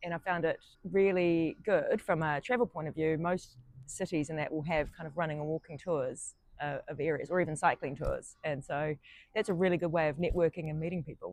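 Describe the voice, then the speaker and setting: Fairly quick, fairly low female voice in a New Zealand accent, with fairly even intonation. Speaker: solo traveller. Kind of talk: interview. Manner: hesitant, many fillers.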